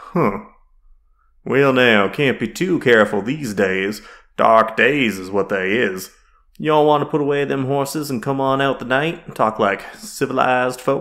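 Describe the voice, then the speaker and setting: A put-on character voice from a man, gruff, at medium pitch and a moderate pace. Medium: read story. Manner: gruff, folksy western dialect.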